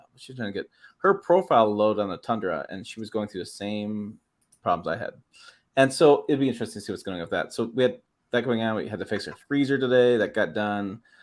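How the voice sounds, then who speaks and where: On a very clean recording with a silent background, a man with a medium pitch talks at a very fast pace, with ordinary pitch variation and big swings in loudness. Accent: Midwestern. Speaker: automotive YouTube host. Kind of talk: casual livestream chat. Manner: fast, words run together.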